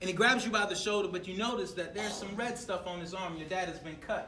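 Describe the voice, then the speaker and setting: This man has a high-pitched voice with an American accent, raised and projected, heard with audible room echo and noticeable background noise. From US South, Atlanta. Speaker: motivational speaker. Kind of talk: motivational talk. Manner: fast; loud.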